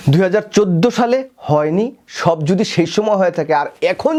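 A man's high-pitched voice with lively intonation. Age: 40s. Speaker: political commentator. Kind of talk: political commentary monologue. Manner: impassioned.

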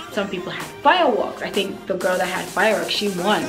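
A woman talks at a fairly quick pace while clear music plays in the background. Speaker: beauty vlogger. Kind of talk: casual vlog storytelling. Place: home room.

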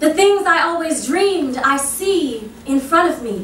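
Over noticeable background noise, a woman speaks very slowly with lively intonation. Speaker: stage actress and poet. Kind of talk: spoken word poetry performance. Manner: impromptu.

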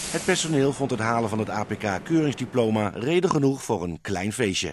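Against noticeable background noise, a man speaks at a medium pitch and a fairly quick pace with lively intonation. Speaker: TV news reporter. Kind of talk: news report narration.

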